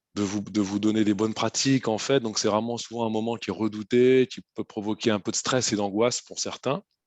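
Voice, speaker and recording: Fairly quick, monotone male speech with a flat intonation, fairly low pitch, and hardly any pauses. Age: 40s. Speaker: recruitment consultant. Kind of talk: webinar talk. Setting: online webinar.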